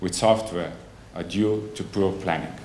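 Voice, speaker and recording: Fairly slow speech with audible room echo. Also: man. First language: not English. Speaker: conference speaker, software agency representative. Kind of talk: conference presentation. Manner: halting, many fillers and self-corrections.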